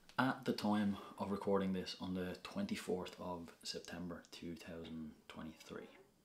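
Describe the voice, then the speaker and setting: In a Dublin accent, a man with a very deep, low pitch talks at a fairly slow pace with fairly even intonation and hardly any pauses. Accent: Dublin Irish. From Ireland, north Dublin. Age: 30s. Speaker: social media influencer. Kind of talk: casual vlog Q&A.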